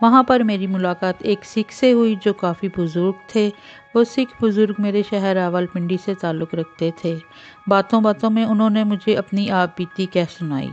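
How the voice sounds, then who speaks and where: With music in the background, a woman talks at a medium pitch with ordinary pitch variation. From Pakistan. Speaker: voice-over artist and story writer. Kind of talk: read moral story narration.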